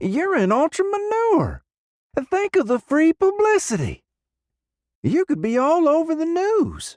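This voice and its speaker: Putting on a character voice, a man speaks at an extremely high pitch and a fairly slow pace, with long, frequent pauses. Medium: read story. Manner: easygoing, chatty.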